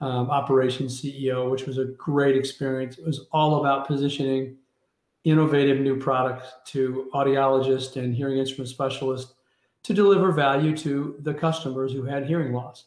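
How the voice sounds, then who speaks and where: With a Midwestern US accent, a man speaks at a moderate pace in a fairly high pitch and a monotone, flat delivery. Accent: US Midwest. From Kansas City, Missouri. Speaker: business executive. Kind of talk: interview.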